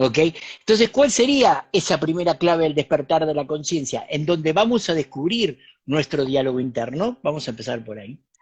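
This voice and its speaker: In a plain, everyday voice, a man with a fairly high pitch talks at a moderate pace, with lively intonation and big swings in loudness. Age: 60s. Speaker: spiritual teacher and author. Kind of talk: talk in an online interview.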